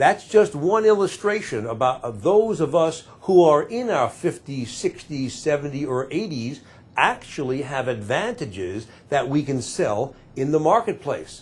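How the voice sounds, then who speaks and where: A man with a fairly high, somewhat breathy voice speaks at a fairly slow pace, his pitch swinging very widely. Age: 60s. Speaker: employment lawyer and career advisor. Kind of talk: talking-head advice video.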